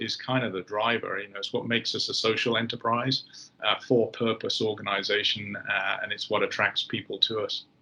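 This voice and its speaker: Over noticeable background noise, a man talks at a fairly quick pace with a British accent. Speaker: company executive. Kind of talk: interview.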